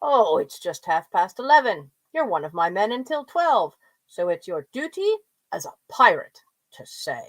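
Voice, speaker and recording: High-pitched put-on character voice from a woman, at a fairly slow pace. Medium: read story.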